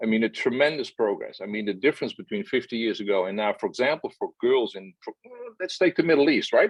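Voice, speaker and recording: Recorded with a dry, close sound and no echo, a man talks at a very fast pace. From Netherlands. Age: 60s. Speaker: journalist. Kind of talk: interview. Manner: animated.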